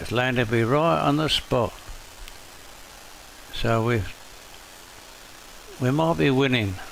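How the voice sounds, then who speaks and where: A man speaks at a fairly slow pace with long, frequent pauses over noticeable background noise. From northern England. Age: 80s+. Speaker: gaming streamer. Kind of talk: gameplay commentary. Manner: casual, self-talking.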